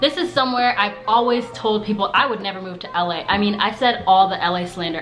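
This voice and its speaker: A woman talks at a fairly quick pace in an animated tone with ordinary pitch variation, with audible room echo and noticeable background noise. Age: 20s. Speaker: vlogger, former news reporter. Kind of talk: casual vlog talk to camera. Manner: fast.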